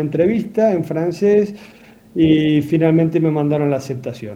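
This man speaks fairly slowly, his pitch fairly high and his intonation varying in an ordinary way. He has an ordinary speaking voice. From Argentina, Santa Fe province. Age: 30s. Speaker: cardiac surgeon. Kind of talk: radio interview.

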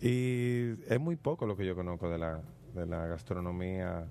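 His voice is very deep and low, with a dark, mellow tone and ordinary pitch variation from this man. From Dominican Republic. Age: 30s. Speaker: radio host. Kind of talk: radio talk show.

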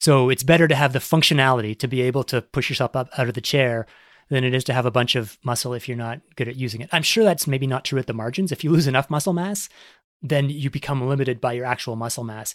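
Speaking very fast with a Canadian accent and ordinary pitch variation, this voice comes through a very clean, dry, close recording with no echo and a silent background. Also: man, medium pitch for a man. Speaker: sports science journalist and author. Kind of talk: casual interview conversation. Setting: studio, video podcast.

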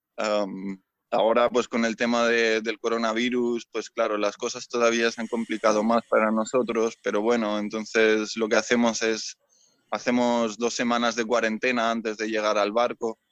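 A man speaks at a moderate pace in a medium pitch, with flat, monotone intonation. The sound is dry and close with no echo, over a quiet background. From Spain, Mallorca. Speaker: sailor and rescue volunteer. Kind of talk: interview. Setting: on a ship in port. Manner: halting, many repeated words.

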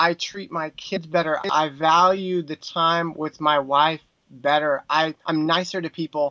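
A man with an American accent, fairly high pitch, bright and sharp tone, monotone flat intonation and fairly slow pace, in a dry, close recording with no echo and a quiet background. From Texas. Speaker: filmmaker and former worship singer. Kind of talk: interview.

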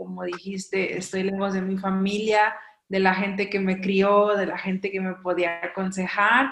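The woman's pitch sits in the medium range. She talks fairly slowly. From Mexico, coast. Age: 30s. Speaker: missionary. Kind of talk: casual interview chat.

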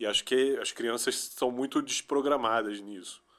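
A man with a normal speaking voice and medium pitch speaks at a moderate pace. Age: 40s. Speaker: musician and music producer. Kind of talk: interview.

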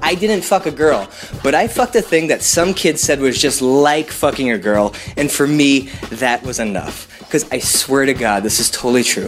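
Music plays behind a man whose fairly high voice carries lively intonation. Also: moderate pace. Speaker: storyteller. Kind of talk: storytelling.

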